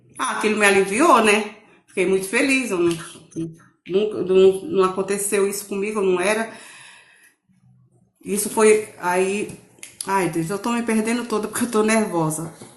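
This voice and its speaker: A woman's medium-pitched voice at a moderate pace, with ordinary pitch variation, long, frequent pauses and audible room echo. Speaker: testimony guest. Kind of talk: testimony. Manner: halting.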